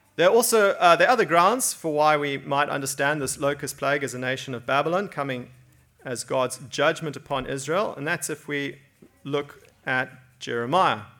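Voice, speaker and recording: With music in the background, a man speaks at a moderate pace in a fairly high pitch with ordinary pitch variation. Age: 40s. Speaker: preacher. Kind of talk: sermon.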